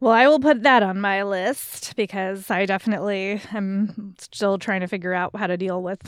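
A woman uses a normal speaking voice at a medium pitch and a moderate pace, with ordinary pitch variation on a very clean recording with a silent background. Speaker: guest host. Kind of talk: casual chat.

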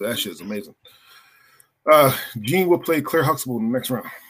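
A man speaks fairly quickly in an unremarkable speaking voice, his pitch moving in a normal way. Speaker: podcast host. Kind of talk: casual chat.

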